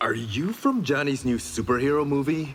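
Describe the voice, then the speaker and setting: In a put-on character voice, a man speaks at a moderate pace with fairly high pitch and ordinary pitch variation. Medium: video game. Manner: relaxed, wry.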